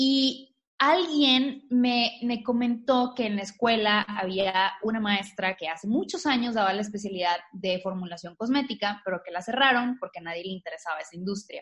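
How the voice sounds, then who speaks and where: A woman with an ordinary speaking voice talks at a moderate pace with hardly any pauses, fairly high in pitch and with lively intonation. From Tamaulipas, northeastern Mexico. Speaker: natural cosmetics entrepreneur. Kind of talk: interview.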